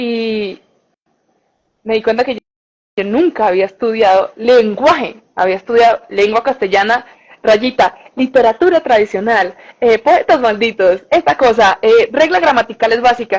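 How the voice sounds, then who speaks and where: A woman with a plain, everyday voice talks at a fairly slow pace and a fairly high pitch, using ordinary pitch variation. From Colombia, Bucaramanga. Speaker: communicator and journalist, language content creator. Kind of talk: interview.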